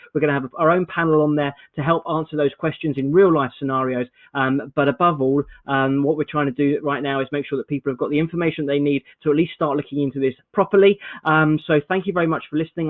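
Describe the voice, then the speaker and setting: A man speaks at a very fast pace. His pitch is fairly high and his intonation fairly even. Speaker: accountant giving business advice. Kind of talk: informational briefing.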